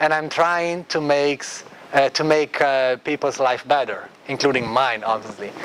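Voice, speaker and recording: Over noticeable background noise, a man speaks at a moderate pace with fairly high pitch and ordinary pitch variation. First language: Italian. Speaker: architect and design researcher. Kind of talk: lecture. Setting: classroom.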